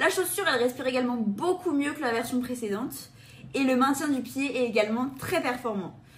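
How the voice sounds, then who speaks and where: A woman's high-pitched voice at a fairly quick pace, with lively intonation. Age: 20s. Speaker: running shoe reviewer. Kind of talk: product review presentation.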